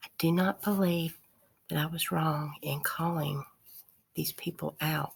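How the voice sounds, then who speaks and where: Using vocal fry and a monotone, flat intonation, a woman with a very deep, low pitch talks at a fairly slow pace with long, frequent pauses. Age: 60s. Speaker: video blogger. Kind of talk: casual monologue to camera.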